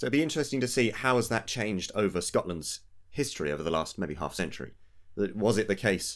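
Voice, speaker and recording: On a very clean recording with a silent background, a man in an English accent speaks at a very fast pace, his fairly low pitch making very wide swings. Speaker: political podcast co-host. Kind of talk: casual political discussion.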